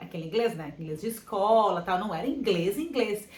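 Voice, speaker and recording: A woman talks at a very fast pace in an animated tone. Noticeable background noise and audible room echo surround her. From Brazil. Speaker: vlogger. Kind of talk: casual chat.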